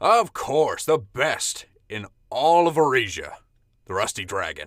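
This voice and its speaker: Going at a fairly slow pace, a man performs a put-on character voice at a fairly high pitch. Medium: actual play.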